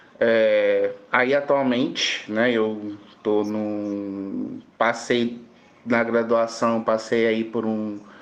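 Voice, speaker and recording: At a very slow pace, a man with a medium pitch speaks in a flat monotone, with audible room echo around him. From Brazil, southern Espírito Santo. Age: 30s. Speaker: pharmacy professor. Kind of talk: podcast interview. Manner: halting, many fillers.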